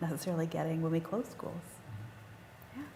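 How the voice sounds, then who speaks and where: There is audible room echo and noticeable background noise around a woman speaking with a fairly low pitch. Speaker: panel moderator. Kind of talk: panel discussion. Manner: fast.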